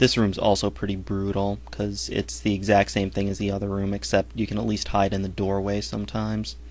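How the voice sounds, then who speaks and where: Moving at a fairly quick pace, a man's voice shows very wide pitch swings. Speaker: gaming commentator. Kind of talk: let's play commentary.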